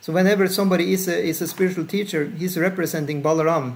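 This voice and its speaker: A man at a high pitch, talking at a very fast pace with fairly even intonation. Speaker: spiritual teacher. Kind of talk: lecture with Q&A discussion. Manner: uneven volume. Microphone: bad Wi-Fi, audio cuts out.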